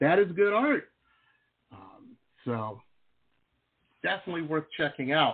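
At a fairly slow pace, a man speaks with very wide pitch swings, big swings in loudness, and long, frequent pauses. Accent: American. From Michigan (Metro Detroit). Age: old. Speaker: radio talk show host, pop art painter. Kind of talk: casual interview chat. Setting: studio. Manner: animated.

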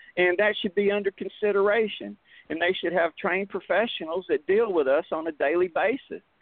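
In an American accent, the speaker moves at a fairly quick pace with ordinary pitch variation. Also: man, high pitch for a man. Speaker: veteran advocating on VA issues. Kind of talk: radio interview. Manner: voice rises, loud when agitated.

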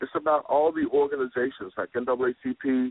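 A man with an American accent and monotone, flat intonation. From Arkansas, later Chicago. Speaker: social justice advocate, foundation founder. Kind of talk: interview. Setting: studio.

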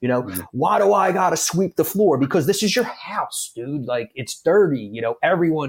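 A man with a Philadelphia accent speaks at a moderate pace and a high pitch, with hardly any pauses. His pitch swings very widely. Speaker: firefighter. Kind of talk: casual chat.

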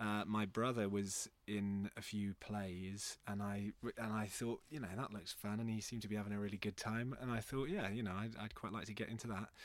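A man with a West Country accent, fairly low in pitch, at a fairly quick pace with hardly any pauses and fairly even intonation, on a very clean recording with a silent background. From Bristol, England. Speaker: theatre artistic director. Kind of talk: casual interview.

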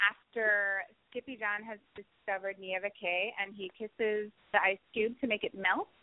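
A woman speaks at a fairly high pitch. Her loudness swings widely. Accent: American. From New Jersey, near Philadelphia. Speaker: stage actress. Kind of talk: interview.

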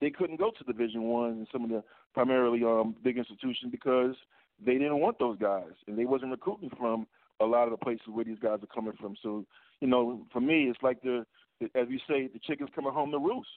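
A plain, everyday voice: a man with an American accent, medium pitch, ordinary pitch variation and a fairly quick pace. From New York. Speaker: caller, former college basketball player. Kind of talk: call-in sports talk.

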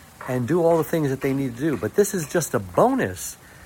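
Noticeable background noise sits behind a man's voice. His pitch swings very widely. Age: 60s. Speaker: podcast host. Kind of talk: casual interview.

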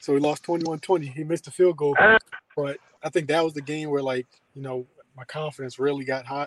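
A man with a fairly high pitch speaks fairly quickly in a flat monotone. His delivery has long, frequent pauses. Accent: American. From Maryland, Columbia (near Baltimore). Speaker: former college quarterback. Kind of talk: interview.

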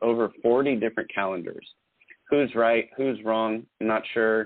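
This man has an unremarkable speaking voice, pitched in the medium range and delivered at a moderate pace. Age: 40s. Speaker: podcast co-host and artist. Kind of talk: casual chat.

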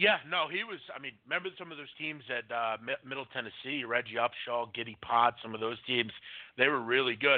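A man with an American accent has a plain, everyday voice at medium pitch with ordinary pitch variation. He moves at a fairly quick pace, with big swings in loudness. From Pennsylvania (Philadelphia area). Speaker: sports betting podcast host. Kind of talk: casual live radio chat. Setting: live call-in internet radio show.

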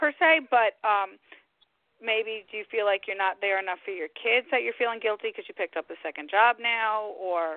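Here is a woman with an unremarkable speaking voice, pitched fairly high and moving at a moderate pace. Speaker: psychic medium. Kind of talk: interview and live readings for callers. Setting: phone call.

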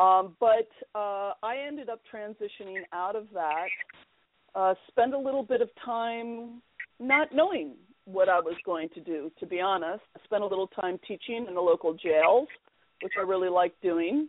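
With lively intonation and big swings in loudness, a woman with a normal speaking voice talks at a medium pitch and a moderate pace. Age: 50s. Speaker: Episcopal priest and NLP practitioner. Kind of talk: interview.

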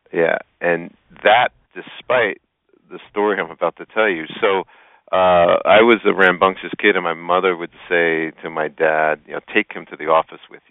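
A man talks at a moderate pace in a very deep, low voice. His intonation is fairly even, though his loudness swings widely. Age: 50s. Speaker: entrepreneur and business coach. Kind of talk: radio interview.

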